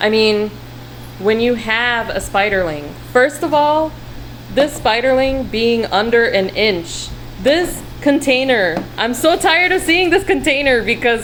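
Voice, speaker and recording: A woman speaks at a moderate pace in a high-pitched, animated voice with lively intonation, over noticeable background noise. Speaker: tarantula keeper vlogger. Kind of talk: casual video rant and tutorial. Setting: at home, talking to camera.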